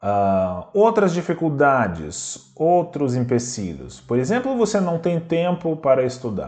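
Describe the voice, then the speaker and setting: Very slow in delivery, this man's voice swings very widely up and down in pitch. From Belarus. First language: Russian (speaking Portuguese). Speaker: language teacher. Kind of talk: lecture.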